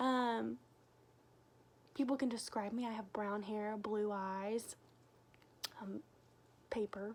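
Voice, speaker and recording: Very slowly, a woman speaks with a fairly high pitch. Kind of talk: casual devotional talk to camera. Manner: loud; animated.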